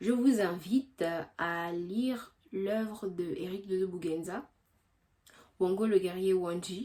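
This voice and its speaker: A woman speaks at a very slow pace in a medium pitch, leaving long, frequent pauses. Her tone is dark and mellow, with ordinary pitch variation. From Gabon. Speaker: history youtuber. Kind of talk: casual explanation; scripted narration.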